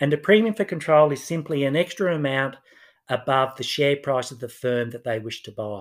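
Fairly quick and lively, a man with an Australian accent speaks in a fairly high voice, his loudness swinging widely. The recording is very clean over a silent background. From Australia, Newcastle NSW. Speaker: finance professor. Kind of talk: interview, explanatory.

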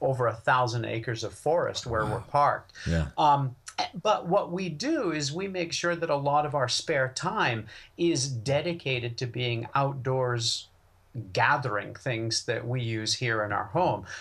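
In a plain, everyday voice with an American accent, a man speaks at medium pitch and a moderate pace with lively intonation, on a very clean recording with a silent background. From western Maine, US. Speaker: wild foods and plant medicine expert. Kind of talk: casual interview.

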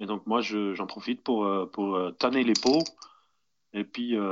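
Pitched fairly low, a man talks with ordinary variation in his pitch. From Netherlands. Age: 30s. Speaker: farmer and bushcraft video maker. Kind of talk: interview. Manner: hesitant, many fillers and repetitions.

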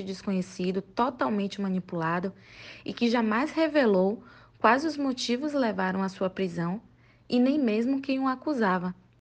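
Using a plain, everyday voice, a woman speaks with lively intonation at a moderate pace. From Bahia, Brazil (Salvador). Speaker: book recommender. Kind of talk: recorded book recommendation.

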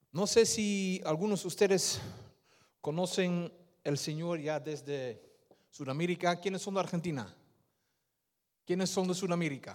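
Against a silent background in a very clean recording, a high-pitched man speaks at a fairly slow pace with ordinary pitch variation and long, frequent pauses. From Netherlands, Surinamese-Indonesian parents. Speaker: lay preacher. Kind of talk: sermon with testimony. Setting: church. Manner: animated.

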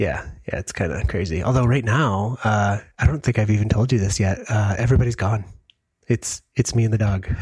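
A man with an American accent talks at a moderate pace in a fairly low, somewhat breathy voice. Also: ordinary pitch variation. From US Midwest, Michigan. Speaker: podcast co-host. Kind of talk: casual chat. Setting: video call.

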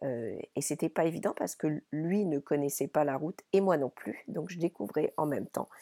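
In a very clean, dry, close recording with a silent background and no echo, a woman with a very deep, low pitch and a dark, mellow tone speaks at a moderate pace with lively intonation and hardly any pauses. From France, Paris region (born in Brittany). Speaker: podcast host and business coach. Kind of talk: solo monologue podcast. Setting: wooden chalet in Ireland.

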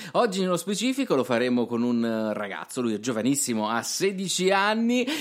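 A man's fairly slow speech comes through on a very clean recording with a silent background. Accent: Apulian. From Puglia, southern Italy. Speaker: radio host. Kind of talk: radio talk show.

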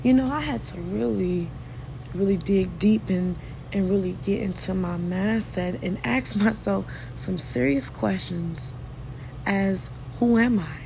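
A woman is speaking. Noticeable background noise and audible room echo are present. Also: fairly slow pace. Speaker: podcast host. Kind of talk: solo motivational monologue. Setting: home living room.

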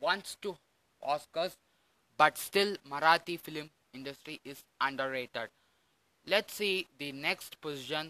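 A man with a Tamil accent speaks at a fairly slow pace with ordinary pitch variation. The sound is dry and close, with no echo. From Tamil Nadu, India. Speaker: podcast host, film commentator. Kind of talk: solo podcast monologue. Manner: hesitant, many fillers.

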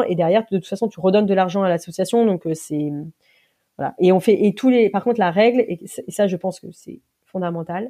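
The background is quiet. Her tone, a woman's, comes across dark and mellow. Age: 40s. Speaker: association founder, former media engineer. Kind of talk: interview. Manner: hesitant, many fillers.

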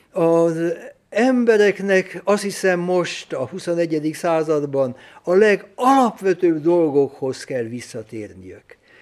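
The speaker moves at a very slow pace, the intonation lively throughout. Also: man, high pitch for a man. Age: 80s+. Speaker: Jesuit priest and lecturer. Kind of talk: lecture. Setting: lecture hall with audience. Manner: halting, with frequent repetitions.

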